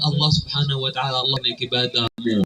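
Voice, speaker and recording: A man speaks at a very fast pace. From Palestine. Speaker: imam, preacher. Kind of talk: sermon.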